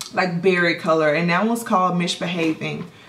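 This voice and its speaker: A woman's voice comes through with audible echo from the room and noticeable noise behind it. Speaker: beauty vlogger. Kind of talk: casual product haul review. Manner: chatty, hesitant.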